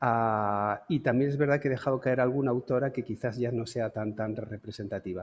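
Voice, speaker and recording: A man with a medium pitch talks at a moderate pace in an ordinary speaking voice, with ordinary pitch variation. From Canary Islands, Santa Cruz de Tenerife. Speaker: lecturer, photographer. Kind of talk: lecture.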